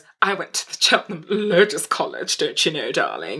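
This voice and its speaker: A woman with a Nigerian accent. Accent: corporate-style Nigerian. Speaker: podcast panelist. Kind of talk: casual discussion.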